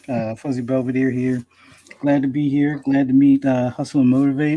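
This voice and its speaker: In a monotone, flat delivery, a man speaks with a dark, mellow tone. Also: very clean recording, silent background. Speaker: podcast co-host.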